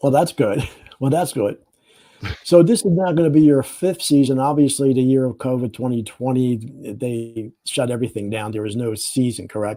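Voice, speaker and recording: This man has an American accent and a dark, mellow tone at a medium pitch. He speaks at a moderate pace with ordinary pitch variation. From Philadelphia. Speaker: interview show host. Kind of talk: interview questions.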